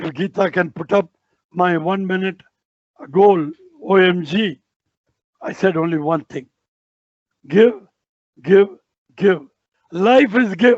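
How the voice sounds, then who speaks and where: With lively intonation, a man speaks very slowly at a high pitch. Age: 80s+. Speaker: retired army officer. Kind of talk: interview, giving advice.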